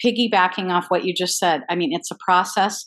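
A woman with an ordinary speaking voice, medium pitch and ordinary pitch variation. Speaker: life coach. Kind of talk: podcast conversation.

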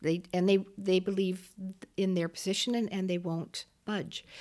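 Recorded very clean against a silent background, a plain, everyday voice with a Canadian accent speaks at a fairly slow pace. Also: woman. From Waterloo, Ontario, Canada. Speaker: former mayor. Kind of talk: interview conversation.

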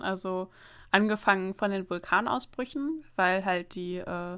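Recorded very cleanly against a silent background, a woman speaks at a medium pitch with a bright, sharp tone. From northern Germany, near the Emsland. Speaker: podcast co-host. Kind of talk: casual chat.

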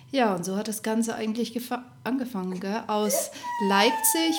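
A woman speaks with a fairly high pitch. Audible room echo and noticeable background noise surround her voice. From Upper Bavaria (Rosenheim). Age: 30s. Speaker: podcast co-host, mother, Instagram creator. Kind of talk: casual chat.

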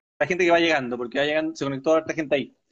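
A man talks with a Chilean accent. His pitch is fairly high. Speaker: live-stream interview host. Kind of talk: casual live-stream interview.

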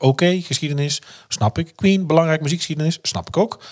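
In a very clean recording with a silent background, a man talks at a very fast pace in a somewhat breathy voice. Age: 40s. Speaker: podcast host. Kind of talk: casual chat.

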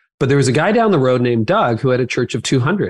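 A man's normal speaking voice at medium pitch, with a Canadian accent and a fairly quick pace, the sound dry and close with no echo against a quiet background. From Canada. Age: 50s. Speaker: pastor, author and podcaster. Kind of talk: interview conversation.

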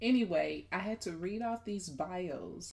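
The speaker has an animated tone and lively intonation. The pace is fairly slow and the voice somewhat breathy. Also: woman. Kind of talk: casual chat.

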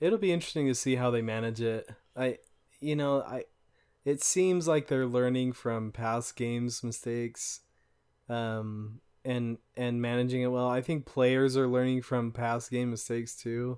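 At a moderate pace, a man with an ordinary speaking voice talks at medium pitch with fairly even intonation in a very clean recording with a silent background. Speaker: podcast host. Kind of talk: casual chat about a video game.

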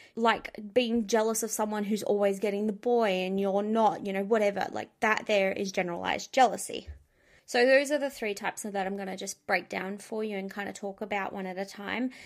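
A woman's medium-pitched voice, fairly quick, with fairly even intonation. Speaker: podcast host. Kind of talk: solo advice monologue. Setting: home recording with dogs in room. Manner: blunt and direct.

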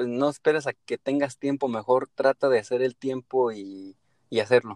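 Against a quiet background, a man with a Mexican accent and medium pitch speaks at a moderate pace with ordinary pitch variation, the sound dry and close with no echo. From Mexico. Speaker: podcaster. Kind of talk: casual chat. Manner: halting.

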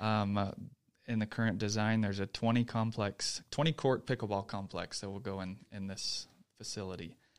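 In a very clean recording with a silent background, a man with an American accent and an ordinary speaking voice talks at a moderate pace with a fairly low pitch and fairly even intonation. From Texas. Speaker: city parks official. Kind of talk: interview.

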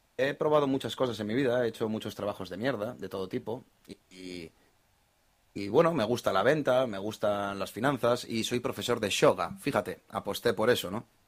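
Speaking with a normal speaking voice at medium pitch, a man keeps a moderate pace with ordinary pitch variation and big swings in loudness, on a very clean recording with a silent background. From Spain, Basque Country (Bilbao). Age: 30s. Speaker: investor. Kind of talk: casual chat.

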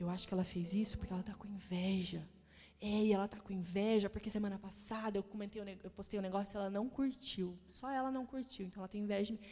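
At a very fast pace, a woman speaks in a somewhat breathy, dark, mellow tone with medium pitch and fairly even intonation. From Paraná, Brazil (Maringá). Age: 30s. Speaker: pastor. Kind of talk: sermon.

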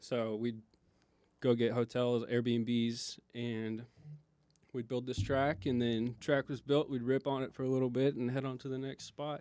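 A man's dark, mellow, medium-pitched voice with an American accent, fairly slow and monotone with flat intonation. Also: very clean recording, silent background. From Oklahoma. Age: 20s. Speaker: podcast co-host, dirt bike racer. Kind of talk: casual chat. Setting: studio.

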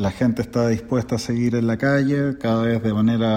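A man speaks at a medium pitch with a dark, mellow tone. His delivery is monotone and flat, at a moderate pace. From Chile. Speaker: podcast guest. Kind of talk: recorded commentary.

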